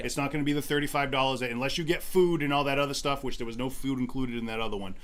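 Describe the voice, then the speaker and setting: This man speaks at a very fast pace with a fairly high pitch. His intonation stays fairly even. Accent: Boston. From Boston, New England. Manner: strong regional speech.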